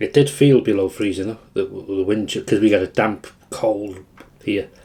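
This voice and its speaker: The voice has a dark, mellow tone. Its intonation is fairly even, and the pace is moderate. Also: man. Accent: Welsh. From Wales. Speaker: food vlogger. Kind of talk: casual chat.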